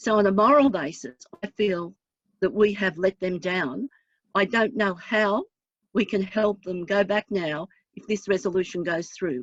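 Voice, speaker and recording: Moderate-paced speech from a woman in an Australian accent. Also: medium pitch for a woman, ordinary pitch variation. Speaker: councillor. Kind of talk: council meeting debate.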